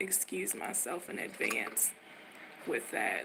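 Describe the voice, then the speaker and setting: A woman speaks over noticeable background noise. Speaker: vlogger. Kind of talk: casual livestream talk.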